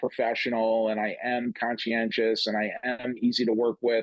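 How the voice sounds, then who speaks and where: A plain, everyday voice from a man with an American accent, medium in pitch, at a moderate pace. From upstate New York. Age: 50s. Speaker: comedian. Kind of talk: casual chat.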